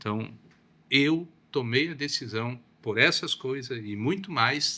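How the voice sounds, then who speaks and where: The recording is very clean, with a silent background. A man speaks at a medium pitch with a bright, sharp tone. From southern Brazil (Paraná). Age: 60s. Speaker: pastor. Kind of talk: podcast interview.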